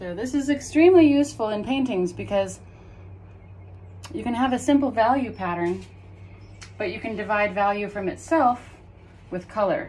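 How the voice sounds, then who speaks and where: A woman's somewhat breathy voice makes very wide pitch swings. Her pace is moderate. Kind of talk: tutorial. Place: workshop. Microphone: phone near.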